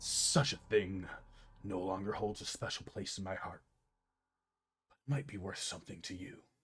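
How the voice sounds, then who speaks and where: A man whispers in a put-on character voice, leaving long, frequent pauses. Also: moderate pace. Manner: whispering.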